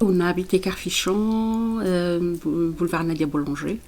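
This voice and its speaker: Speaking at a very slow pace, a woman keeps a fairly low pitch and fairly even intonation. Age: 60s. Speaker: municipal election candidate. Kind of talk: interview. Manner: halting.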